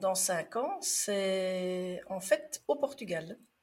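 The pace is very slow. The intonation is lively. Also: woman. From Belgium. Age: 50s. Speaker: former nurse and trainer, podcaster. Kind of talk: interview. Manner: calm.

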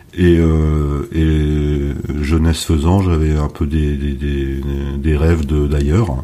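A man talks at a very slow pace with hardly any pauses, his pitch very deep and low. His intonation is monotone and flat, his loudness very even, and noticeable background noise is present. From northern France, Dunkirk area. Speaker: wine consultant and winemaker. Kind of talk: interview.

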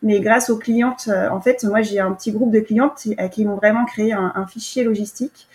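Noticeable background noise surrounds a woman speaking at a moderate pace with hardly any pauses. Her pitch is fairly high and her intonation fairly even. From France, Yvelines. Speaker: market gardener. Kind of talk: interview. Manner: halting, many repetitions.

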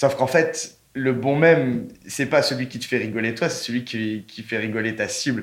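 A man's medium-pitched voice with ordinary variation, at a moderate pace with hardly any pauses, over noticeable background noise. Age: 20s. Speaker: brand content manager. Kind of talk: casual interview chat. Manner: casual, hesitant with repetitions.

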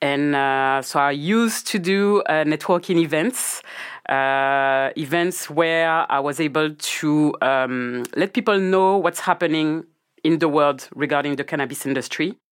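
The speaker has a strong French accent and ordinary pitch variation. The recording is very clean, with a silent background. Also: woman, very deep, low pitch for a woman, fairly slow pace. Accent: thick French. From Guadeloupe. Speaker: cannabis business founder. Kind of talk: casual interview chat.

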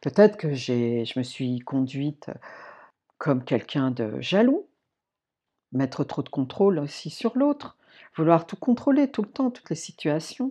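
A woman speaks at a fairly slow pace with long, frequent pauses and a very deep, low pitch that swings very widely. Her tone is dark, mellow and warm, and the background is quiet. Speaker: podcast host, personal development coach. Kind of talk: solo podcast monologue. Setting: staying alone at a friend's house in the countryside. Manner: warm, conversational.

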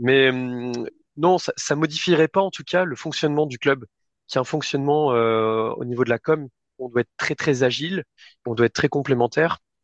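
Over a quiet background, a man with a fairly high pitch talks at a moderate pace with ordinary pitch variation and long, frequent pauses, the sound dry and close with no echo. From France, Limoges. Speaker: football club communications director. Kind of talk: interview. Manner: hesitant, many fillers.

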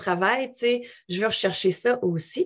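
A woman speaks with ordinary pitch variation. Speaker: English coach and yoga teacher. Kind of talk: interview conversation. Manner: animated.

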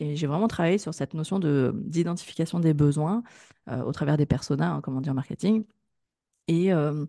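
In a dry, close sound with no echo and a quiet background, a woman speaks at a moderate pace with a dark, mellow tone, fairly low pitch, and ordinary pitch variation. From France, Grenoble. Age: 30s. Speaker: digital marketing consultant. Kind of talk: interview.

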